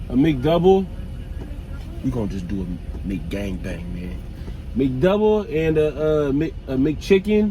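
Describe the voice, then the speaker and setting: Over noticeable background noise and audible room echo, a man talks at a very slow pace in a fairly high pitch, with very wide pitch swings, big swings in loudness and long, frequent pauses. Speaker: YouTube vlogger. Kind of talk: casual vlog.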